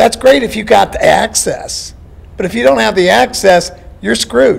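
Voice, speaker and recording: Male speech of moderate tempo, noticeable background noise underneath. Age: 60s. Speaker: town hall audience member. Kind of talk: public question at town hall.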